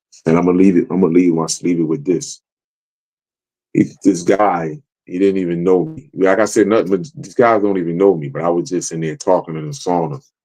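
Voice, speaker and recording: A man with a very deep, low pitch and a dark, mellow tone speaks at a fairly quick pace with ordinary pitch variation. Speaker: live stream guest. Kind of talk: casual chat.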